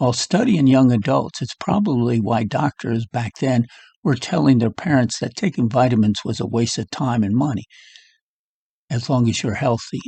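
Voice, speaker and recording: A somewhat breathy man's voice, dry and close with no echo, against a quiet background. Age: 70s. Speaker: health vlogger. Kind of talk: casual monologue. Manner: halting.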